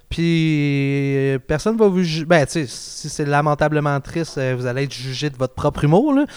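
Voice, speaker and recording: This man has an ordinary speaking voice, fairly high in pitch, with ordinary pitch variation. He moves at a moderate pace with hardly any pauses. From Quebec, South Shore (Marieville). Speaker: podcast host, amateur comedian. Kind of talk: casual chat.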